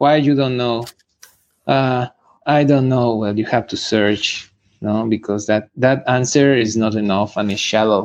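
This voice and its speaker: Against a quiet background, a man with a Spanish accent and a medium pitch speaks at a fairly slow pace with ordinary pitch variation. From Mexico, eastern Michoacán. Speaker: musician and martial artist. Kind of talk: interview. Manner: halting.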